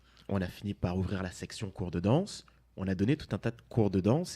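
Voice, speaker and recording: A man's fairly low voice, dark and mellow in tone, with lively intonation at a moderate pace. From Martinique. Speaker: dance company co-founder. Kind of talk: interview.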